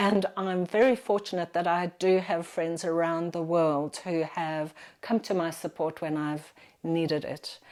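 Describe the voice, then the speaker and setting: A woman with a plain, everyday voice talks at a fairly slow pace. Her pitch is fairly low and her intonation fairly even. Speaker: architect. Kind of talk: interview.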